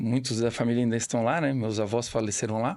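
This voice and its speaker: A man talks at a fairly quick pace in a quiet setting. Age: 40s. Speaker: family business owner. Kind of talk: podcast interview. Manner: halting, with repetitions.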